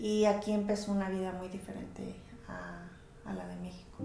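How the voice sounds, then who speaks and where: A woman talks at a fairly slow pace and medium pitch with fairly even intonation. Noticeable background noise and audible room echo fill the recording. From Mexico, Colima (Armería), moved to California as a child. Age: 40s. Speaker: interviewee, mother of the channel owner. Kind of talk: personal interview testimony. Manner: halting, many fillers.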